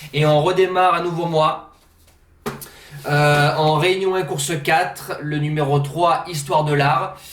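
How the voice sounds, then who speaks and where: A man with a fairly high pitch and ordinary pitch variation, at a very slow pace with long, frequent pauses, in audible room echo. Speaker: horse racing tipster. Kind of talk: betting tips monologue. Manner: casual, hesitant fillers.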